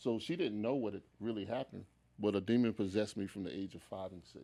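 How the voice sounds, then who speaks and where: Very fast speech comes from a man whose fairly low voice has a dark, mellow tone. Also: very clean recording, silent background. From US South, Charlotte, North Carolina. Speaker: minister and writer. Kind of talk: testimony. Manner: animated.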